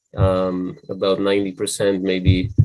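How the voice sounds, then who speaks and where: Noticeable background noise runs under the recording. A man speaks at a fairly low pitch. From Israel. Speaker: ecovillage founder. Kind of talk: interview.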